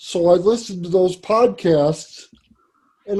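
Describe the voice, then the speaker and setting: A man with an American accent and a high pitch speaks at a fairly slow pace in a dark, mellow tone, with ordinary pitch variation. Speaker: podcaster. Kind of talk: talk to an audience.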